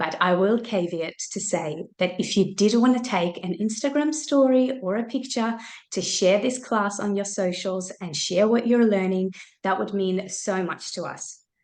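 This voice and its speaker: A normal speaking voice from a woman, medium in pitch, with ordinary pitch variation at a moderate pace. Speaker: mindset coach. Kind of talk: webinar presentation. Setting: video call.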